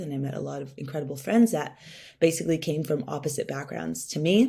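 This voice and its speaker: A woman with a Californian accent speaks in a very deep, low pitch. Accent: Californian American English. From Southern California (Orange County). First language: Spanish. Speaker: venture capital founder, workshop speaker. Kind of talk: workshop talk.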